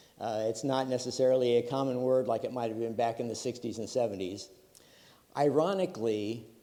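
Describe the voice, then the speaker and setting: A man talks at a fairly quick pace in a room with audible echo. His medium pitch shows ordinary variation. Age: 70s. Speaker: retired computer engineer, conference speaker. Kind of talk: conference talk. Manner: many filler words.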